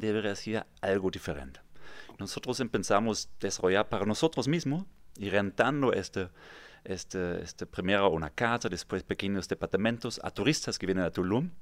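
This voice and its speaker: A man with a German accent, fairly low pitch, lively intonation and a fairly quick pace, on a very clean recording with a silent background. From Germany, near Frankfurt (Kassel). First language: German (speaking Spanish). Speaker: real estate developer. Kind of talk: interview. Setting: studio.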